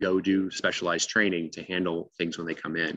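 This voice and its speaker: At a fairly quick pace, a man speaks with a bright, sharp tone, the sound dry with no echo and the background quiet. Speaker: invasive species manager. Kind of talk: webinar presentation. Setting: video call. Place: home room. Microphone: video call.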